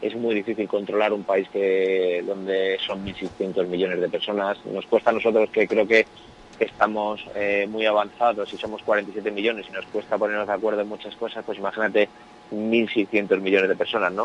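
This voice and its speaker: A man talks in a fairly low voice. His intonation is monotone and flat. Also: moderate pace. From Spain, Madrid and León. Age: 30s. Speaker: professional footballer and entrepreneur. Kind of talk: interview.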